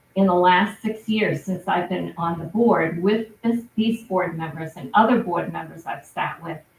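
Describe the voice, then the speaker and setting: A woman with vocal fry speaks at a medium pitch with ordinary pitch variation. Her pace is fairly slow, with hardly any pauses. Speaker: town select board member. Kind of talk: public meeting statement. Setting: town board meeting.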